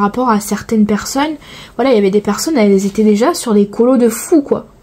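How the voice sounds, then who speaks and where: A woman speaks with a southern French accent. Her pitch sits fairly high. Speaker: coloring vlogger. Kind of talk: casual chat. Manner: hesitant, filler-heavy.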